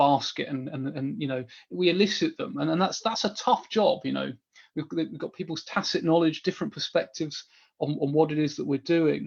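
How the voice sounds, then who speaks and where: A man's very fast, lively delivery at a fairly high pitch over a quiet background. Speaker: business analysis trainer. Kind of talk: webinar Q&A. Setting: online webinar. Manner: animated.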